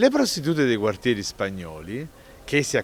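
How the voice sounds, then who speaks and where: A man's voice with very wide pitch swings at a moderate pace. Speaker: writer and Neapolitan dialect expert. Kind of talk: explanatory talk on word origins.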